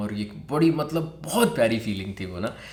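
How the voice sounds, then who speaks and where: A man talks with a fairly low pitch. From Pakistan. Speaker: vlogger. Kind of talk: personal story told to camera. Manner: casual.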